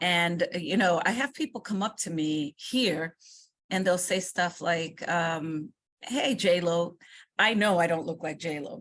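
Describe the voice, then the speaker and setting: A woman with a New York accent speaks in a fairly low voice with ordinary pitch variation. Her pace is fairly slow. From New York City, Washington Heights; Dominican family. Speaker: state education commissioner. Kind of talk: interview. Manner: forceful.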